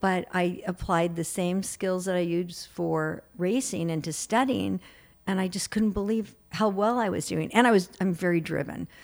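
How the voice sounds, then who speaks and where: A woman talks in a plain, everyday voice. Her pitch is medium, with ordinary pitch variation. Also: moderate pace. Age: 60s. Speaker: behavioral specialist and author. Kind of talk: interview.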